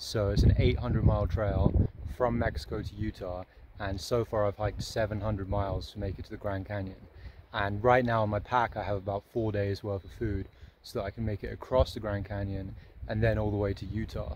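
A man talks in a fairly low voice with fairly even intonation. The sound is dry with no echo, and there is noticeable background noise. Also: moderate pace. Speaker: thru-hiker vlogger. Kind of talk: casual vlog chat. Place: open country. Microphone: phone near.

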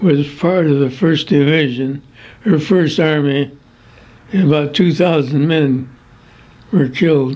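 Speaking with a Midwestern American accent, a man keeps a fairly high pitch. His pace is very slow and his intonation fairly even. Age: 80s+. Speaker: war veteran. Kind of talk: interview answer. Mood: somber reminiscing. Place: home room.

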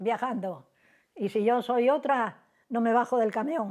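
The speech unfolds at a very slow pace against a quiet background. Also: woman. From Cantabria, Spain. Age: 90s. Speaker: elderly interviewee; interviewee. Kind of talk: oral history interview; interview answer. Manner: halting. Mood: lively, animated storytelling. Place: home room. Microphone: lapel.

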